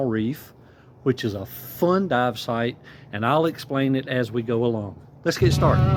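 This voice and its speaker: A man with a Southern US accent speaks at a moderate pace and medium pitch. His intonation is lively, and there is noticeable background noise. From US South, rural South Carolina. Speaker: scuba diving vlogger. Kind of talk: vlog narration. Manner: casual, friendly.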